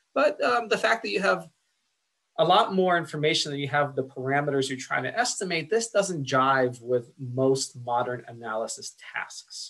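A man's pitch swings very widely against a quiet background. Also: moderate pace. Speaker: lecturer. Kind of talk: lecture.

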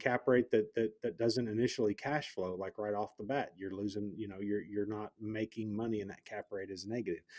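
In a Southern US accent, a man talks at a fairly quick pace with hardly any pauses, a fairly low pitch and fairly even intonation, the sound dry and close with no echo. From US South. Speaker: podcast host, real estate investor. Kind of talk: podcast interview.

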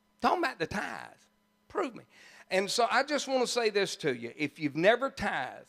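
A man speaks in an animated, warm tone with very wide pitch swings against a quiet background. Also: long, frequent pauses. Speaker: pastor. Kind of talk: sermon. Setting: church. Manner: animated, warm and jokey, laughing as he preaches; folksy, conversational, with country turns of phrase. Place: church. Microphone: handheld.

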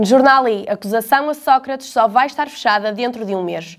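Here a woman speaks at a moderate pace with ordinary pitch variation. The background is quiet. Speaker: newsreader presenting press review. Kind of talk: newsreading: a brisk, scripted press-review bulletin read headline by headline. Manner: formal, even and businesslike, with crisp news-anchor delivery.

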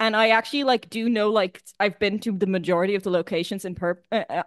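Speaking at a fairly quick pace, a woman with an unremarkable speaking voice sits at medium pitch with ordinary pitch variation, the sound dry and close with no echo against a quiet background. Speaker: podcast panelist. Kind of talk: casual chat.

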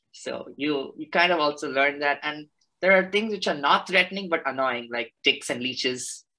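A man speaks at a moderate pace, fairly high in pitch with ordinary pitch variation. His tone is bright and sharp against a quiet background. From India, Chennai; India. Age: 20s. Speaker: naturalist and graduate student; presenter. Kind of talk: presentation. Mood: enthusiastic, friendly. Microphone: video call.

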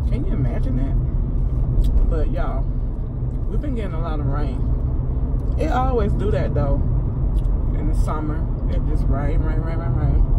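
A woman speaks at a moderate pace with long, frequent pauses. Loud background noise runs underneath. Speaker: food delivery driver vlogger. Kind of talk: casual vlog chat. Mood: relaxed, chatty. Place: car. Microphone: phone near.

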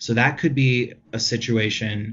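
The speaker is a man with a somewhat breathy voice. His pitch sits in the middle range. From Hawaii. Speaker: restoration consultant. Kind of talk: interview.

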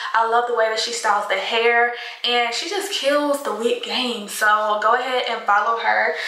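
A woman at a moderate pace, with monotone, flat intonation and audible room echo. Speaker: beauty vlogger. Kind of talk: casual vlog chat. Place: home room. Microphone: phone near.

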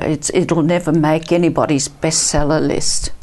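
A woman with an Australian accent speaks at a fairly low pitch. Her pace is fairly slow. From Italy, raised in Perth, Australia from age 10; Italy. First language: Italian. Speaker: author and counsellor; interview guest. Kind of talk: testimony. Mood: warm, reflective storytelling. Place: studio. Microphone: lapel.

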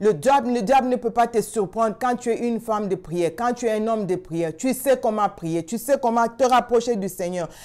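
A woman speaks at a moderate pace with hardly any pauses, her pitch fairly high and ordinary in variation. The background is quiet. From Congo. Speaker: prayer channel host. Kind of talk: sermon. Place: home room. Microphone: lapel.

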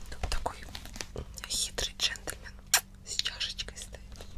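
A woman is speaking. Her pace is very slow. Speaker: ASMR content creator. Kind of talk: book reading, audiobook style. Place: home room. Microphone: studio mic.

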